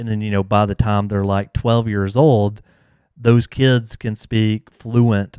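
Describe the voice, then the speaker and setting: A man's monotone, flat voice with a strong Southern US accent, a dark, mellow tone and fairly low pitch, in a very clean recording with a silent background and a dry, close sound with no echo. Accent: thick Southern US. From US South. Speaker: YouTuber answering console hacking questions. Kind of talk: live Q&A stream. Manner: casual, many fillers.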